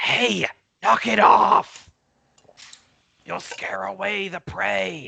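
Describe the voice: A put-on character voice, raspy and low-pitched, at a very slow pace with long, frequent pauses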